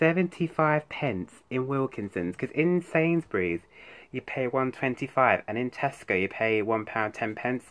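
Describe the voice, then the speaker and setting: This man speaks with a British accent. His pitch swings very widely. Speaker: YouTuber. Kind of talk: haul video. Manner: fast; halting. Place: home room. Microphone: phone near.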